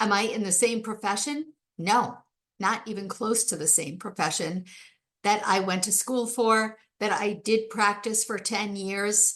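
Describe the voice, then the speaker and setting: Speaking fairly slowly with fairly even intonation, a woman has a fairly high pitch and an unremarkable speaking voice. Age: 60s. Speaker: podcast host and life coach. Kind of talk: solo podcast monologue. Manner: conversational.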